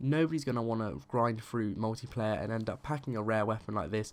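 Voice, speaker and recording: A man with a British accent speaks at a fairly quick pace in a medium pitch. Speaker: gaming YouTuber. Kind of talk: game review commentary. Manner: usually monotone; animated, passionate.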